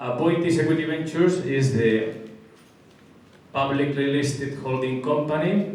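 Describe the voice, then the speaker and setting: Ordinary pitch variation in a strong Spanish accent, with audible room echo and noticeable background noise. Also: man. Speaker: construction company executive. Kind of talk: business presentation. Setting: luncheon event with audience.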